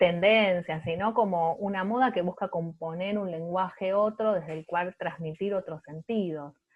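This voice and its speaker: A woman with a Rioplatense accent talks at a fairly slow pace in a fairly low pitch. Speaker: art researcher. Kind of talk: panel talk.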